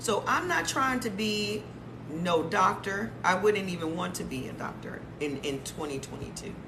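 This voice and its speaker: Her tone animated and her pitch fairly low, a woman speaks with very wide pitch swings amid noticeable background noise and audible room echo. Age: 50s. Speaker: lifestyle and health talk creator. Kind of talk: casual livestream talk.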